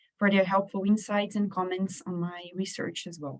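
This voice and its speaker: This is a woman with a medium pitch. Her voice is somewhat breathy. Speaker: researcher. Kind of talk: conference presentation. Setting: stage with audience.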